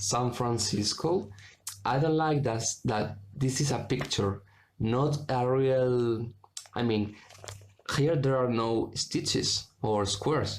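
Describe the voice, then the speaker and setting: A man talks at a very slow pace with a Spanish accent. His loudness stays very even. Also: medium pitch for a man, ordinary pitch variation. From Spain. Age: 20s. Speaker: cross stitch video maker. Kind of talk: casual show-and-tell vlog. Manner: halting, with many fillers and self-corrections.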